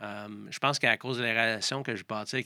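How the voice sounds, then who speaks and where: In a Quebec accent, a man speaks at medium pitch and a fairly quick pace with fairly even intonation and a bright, sharp tone, the sound dry and close with no echo on a very clean recording with a silent background. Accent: Québécois French. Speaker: triathlon coach. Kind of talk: casual interview.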